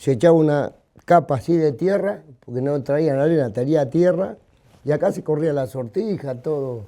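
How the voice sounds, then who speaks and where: A man speaks with a fairly high pitch and lively intonation. His tone is dark and mellow. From Argentina, Buenos Aires (Mataderos). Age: 60s. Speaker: local cattle market veteran. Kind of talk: casual chat.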